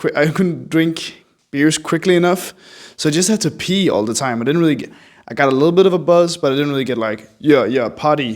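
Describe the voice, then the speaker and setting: In a very clean recording with a silent background, a man with a slight European accent speaks at a fairly quick pace in a fairly high voice with lively intonation. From Denmark. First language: Danish. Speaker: artist, small video creator. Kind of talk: casual vlog narration over drawing.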